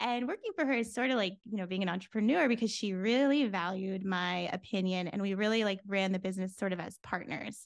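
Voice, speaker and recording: A woman at medium pitch with an American accent, an ordinary speaking voice, fairly quick pace, hardly any pauses and ordinary pitch variation, against a quiet background. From Florida, US. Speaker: business consultant. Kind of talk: casual interview chat.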